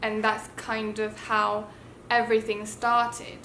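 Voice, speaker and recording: With a British accent, the speaker goes at a very slow pace amid audible room echo and noticeable background noise. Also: woman. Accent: self-taught British. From Taiwan. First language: Mandarin Chinese. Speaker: YouTuber. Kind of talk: casual storytelling vlog.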